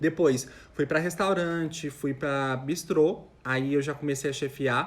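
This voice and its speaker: Talking at a fairly slow pace, a man has an unremarkable speaking voice pitched fairly high. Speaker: chef. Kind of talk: live stream Q&A. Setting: live stream with camera at home.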